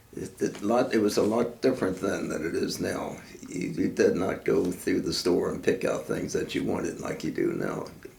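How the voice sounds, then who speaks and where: Speaking with an American accent at a moderate pace and hardly any pauses, a man is heard amid audible room echo and noticeable background noise. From Baltimore, Maryland. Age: 90s. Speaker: war veteran. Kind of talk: oral history interview.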